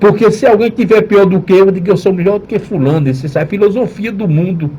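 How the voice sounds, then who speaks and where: Very fast, a man talks in a high-pitched voice. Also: ordinary pitch variation. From Northeast Brazil. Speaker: pastor. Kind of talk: radio sermon.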